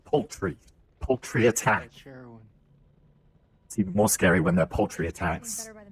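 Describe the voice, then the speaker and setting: A man's fairly low, somewhat breathy voice in a British accent, at a moderate pace with ordinary pitch variation and long, frequent pauses. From Britain. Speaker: video game streamer. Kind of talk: live gameplay stream chat. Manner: casual, chatty.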